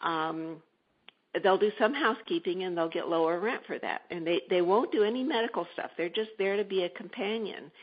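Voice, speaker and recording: An unremarkable speaking voice from a woman, medium in pitch, fairly quick and lively in intonation. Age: 60s. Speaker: entrepreneur, shared-housing service founder. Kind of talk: interview. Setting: radio show.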